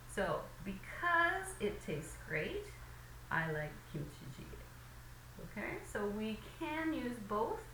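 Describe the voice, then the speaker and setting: With long, frequent pauses, a woman talks at a very slow pace, her voice carrying audible room echo over noticeable background noise. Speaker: English teacher. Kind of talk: lecture. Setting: recorded lesson video with slides.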